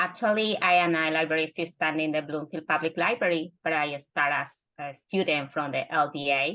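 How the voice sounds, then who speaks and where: A woman with a Spanish accent speaks at a fairly quick pace in a very deep, low pitch with ordinary pitch variation. Her tone is bright and sharp, against a quiet background. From Peru. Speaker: library assistant and former adult learner. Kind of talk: panel self-introduction.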